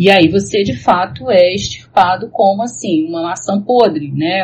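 This woman speaks at a medium pitch with lively intonation. Her voice is somewhat breathy. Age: 40s. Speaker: professor and researcher in psychology and religion. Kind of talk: casual discussion.

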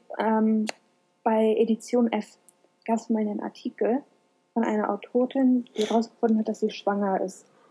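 A woman's somewhat breathy, fairly high voice keeps fairly even intonation at a moderate pace. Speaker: podcast co-host. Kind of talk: casual chat.

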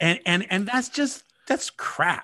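A man talks in an American accent with lively intonation and a bright, sharp tone. His pace is moderate, and the background is quiet. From California. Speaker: podcast host. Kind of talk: casual political discussion.

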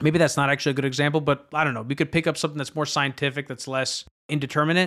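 A man's fairly high voice with a bright, sharp tone and fairly even intonation, on a very clean recording with a silent background. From Greece. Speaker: media entrepreneur and podcast host. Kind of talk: interview, conversational.

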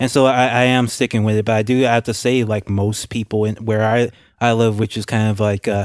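The recording is dry and close with no echo and a quiet background, as a man with an American accent speaks at a medium pitch in a monotone, flat way. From Louisiana, US South. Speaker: podcast co-host. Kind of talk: casual political discussion.

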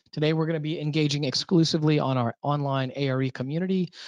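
Against a quiet background, the speech comes at a very fast pace with fairly even intonation and a dry, close sound with no echo. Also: man. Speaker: webinar host and company founder. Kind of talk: webinar panel moderation with sales pitch. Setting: online webinar.

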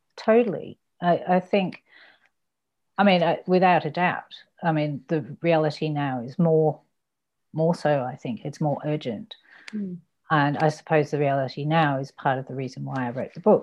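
A woman with a very deep, low pitch and ordinary pitch variation speaks at a moderate pace against a quiet background. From Australia (Ballarat, Western Victoria), born abroad. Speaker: novelist and poet. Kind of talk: interview. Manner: halting.

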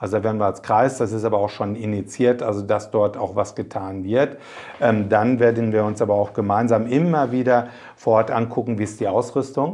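This man has a plain, everyday voice with fairly low pitch. He talks at a fairly quick pace with fairly even intonation. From Germany, Paderborn area (East Westphalia). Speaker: mayor and district administrator candidate. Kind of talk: interview.

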